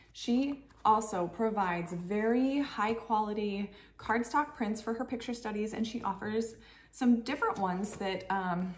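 Her somewhat breathy voice moves at a fairly slow pace, the pitch shifting in an ordinary way. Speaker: homeschooling parent vlogger. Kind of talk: casual tutorial vlog. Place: kitchen. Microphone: camera far.

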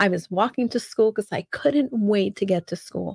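A woman speaks against a quiet background. The sound is dry, with no echo. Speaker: speaker. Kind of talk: personal storytelling talk. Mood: animated, humorous. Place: home room. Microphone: studio mic.

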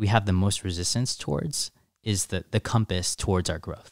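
In a quiet background with dry sound and no echo, a man talks at a fairly low pitch and a moderate pace with ordinary pitch variation. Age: 20s. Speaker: content creator and coach; content creator, coach. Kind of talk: casual chat. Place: studio. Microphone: studio mic.

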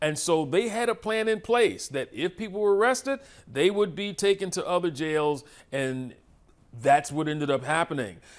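Moderate-paced male speech in a quiet background. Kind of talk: lecture. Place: hall.

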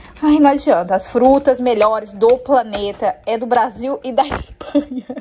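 A woman talks with lively intonation. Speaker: home vlogger. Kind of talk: casual vlog chat. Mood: cheerful, laughs often. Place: kitchen.

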